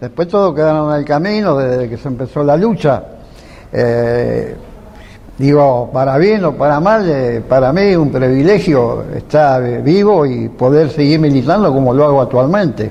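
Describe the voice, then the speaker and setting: The speaker talks at a fairly slow pace with lively intonation. Noticeable background noise sits behind the voice. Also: man, fairly high pitch for a man. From Argentina, Rosario. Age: 80s+. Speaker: veteran political activist. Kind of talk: interview. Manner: halting.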